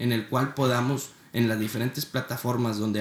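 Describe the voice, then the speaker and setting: Speaking in a monotone with flat intonation, a man talks at a moderate pace and a medium pitch. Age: 20s. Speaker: podcast host, student entrepreneur. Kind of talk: motivational podcast intro monologue.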